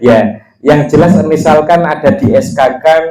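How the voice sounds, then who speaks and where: A man speaks with a Javanese accent. His tone is dark and mellow. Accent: Javanese-accented Indonesian. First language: Javanese (speaking Indonesian). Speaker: religious teacher. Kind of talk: religious study lesson. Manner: casual, mixing Javanese and Indonesian.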